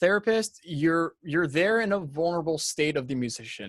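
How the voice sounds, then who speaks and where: In a dry, close sound with no echo, a man talks with lively intonation. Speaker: recording engineer teaching a livestream. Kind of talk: livestream tutorial. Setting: video call livestream. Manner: fast.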